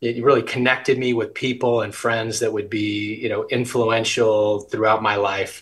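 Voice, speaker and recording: In a somewhat breathy, monotone and flat delivery with an American accent, a man keeps a moderate pace with hardly any pauses over a quiet background. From US West. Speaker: business executive. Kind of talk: interview. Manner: frequent filler words. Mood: warm, friendly. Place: home room. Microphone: video call.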